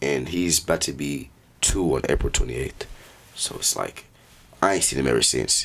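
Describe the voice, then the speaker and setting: A man with an American accent speaks in a very deep, low pitch with vocal fry. His pitch varies in an ordinary way, and he leaves long, frequent pauses. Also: moderate pace. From Tukwila, Washington, US. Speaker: rapper. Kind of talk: casual chat.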